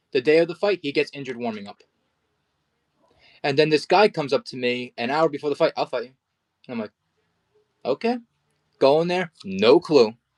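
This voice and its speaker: With a New Jersey accent, a man of fairly high pitch speaks at a fairly quick pace with lively intonation, big swings in loudness and long, frequent pauses, the sound dry and close with no echo. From New Jersey, US. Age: 20s. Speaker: amateur boxer. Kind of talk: interview.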